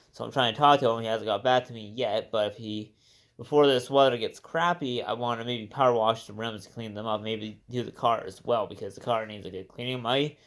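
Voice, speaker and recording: A man of medium pitch talks at a fairly quick pace with fairly even intonation and big swings in loudness, on a very clean recording with a silent background. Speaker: car enthusiast vlogger. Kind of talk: casual video walkaround. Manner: fast.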